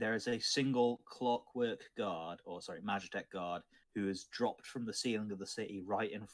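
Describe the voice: Straightforward reading aloud, nothing more.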